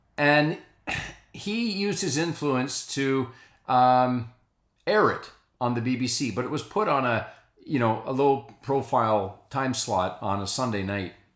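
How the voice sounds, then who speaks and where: A man speaks in an ordinary speaking voice at medium pitch. His pace is fairly slow and his intonation lively. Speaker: priest. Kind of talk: spoken reflection to camera.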